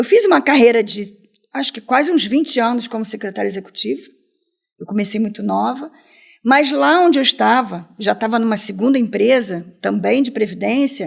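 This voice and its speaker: In a very clean recording with a silent background, a woman talks at a moderate pace with a fairly high pitch, lively intonation and vocal fry. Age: 60s. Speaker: entrepreneur. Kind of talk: interview.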